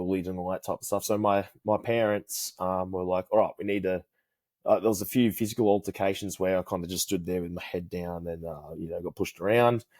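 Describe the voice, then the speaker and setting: A man with an Australian accent and a fairly low voice at a very fast pace, in a very clean recording with a silent background and a dry, close sound with no echo. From Australia, New South Wales. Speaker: karate instructor. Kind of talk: casual chat. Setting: podcast interview.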